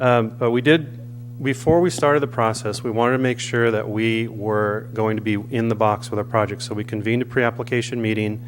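Noticeable background noise surrounds a man at medium pitch. He speaks at a fairly quick pace with fairly even intonation. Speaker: public commenter at council meeting. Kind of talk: public comment. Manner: fast.

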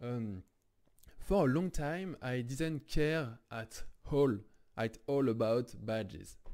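A man speaks with a French accent and lively intonation. His tone is dark and mellow. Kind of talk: casual game tutorial talk.

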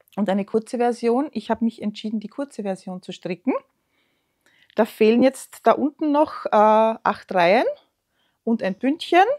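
A woman with an Austrian accent speaks at a moderate pace, leaving long, frequent pauses against a quiet background. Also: fairly high pitch for a woman, ordinary pitch variation. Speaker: knitting podcaster. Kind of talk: casual show-and-tell vlog; casual vlog chat. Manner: hesitant, many fillers. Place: home room.

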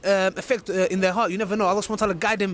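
Light background noise sits behind a man whose voice is dry, with no echo. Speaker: street video host. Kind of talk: casual vlog chat. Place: street. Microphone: handheld.

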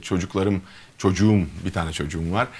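Fairly even intonation from a man with a very deep, low pitch. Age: 40s. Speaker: gynecologist and mayoral candidate; candidate. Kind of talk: interview. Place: studio. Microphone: lapel.

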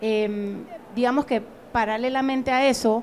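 Over light background noise, a woman with a plain, everyday voice speaks at a fairly high pitch with fairly even intonation. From Panama. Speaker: museum director; museum director on a panel. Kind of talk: panel discussion. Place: hall.

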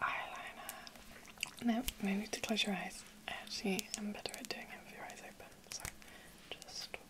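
Whispering at a moderate pace, a woman speaks. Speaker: makeup roleplay host. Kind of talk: soft-spoken roleplay talk to viewer. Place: home room.

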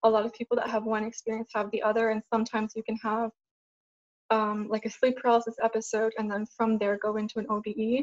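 A woman speaks at a very fast pace with monotone, flat intonation. The background is quiet. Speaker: guest. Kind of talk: interview answer. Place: home room. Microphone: video call.

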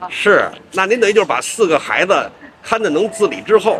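A man with a high pitch talks at a fairly quick pace, his pitch swinging very widely. Noticeable background noise runs underneath. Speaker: street interviewer. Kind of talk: street interview questions. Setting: outdoors. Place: garden.

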